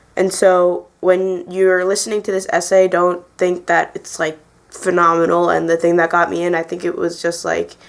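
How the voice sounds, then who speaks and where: A woman's fairly low, monotone, flat voice at a moderate pace with hardly any pauses, amid noticeable background noise. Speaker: college student. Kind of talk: casual talk to camera.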